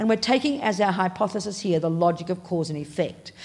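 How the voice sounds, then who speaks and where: This woman has an Australian accent and a somewhat breathy voice. The recording is very clean, with a silent background. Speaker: Buddhist nun and teacher. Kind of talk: dharma talk. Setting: meditation hall with audience. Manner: animated.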